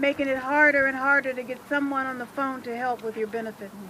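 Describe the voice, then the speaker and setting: Against noticeable background noise, a woman uses a raised, projected voice, high in pitch, with fairly even intonation. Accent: American. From Washington, D.C. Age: 60s. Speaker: retired electrician and rally speaker. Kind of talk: rally speech.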